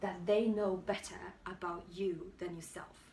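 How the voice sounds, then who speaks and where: In a room with audible echo, a woman speaks very slowly at a medium pitch, somewhat breathy and with fairly even intonation. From Poland. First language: Polish. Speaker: YouTuber and budding actor. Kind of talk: motivational talk to camera. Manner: halting, with restarts.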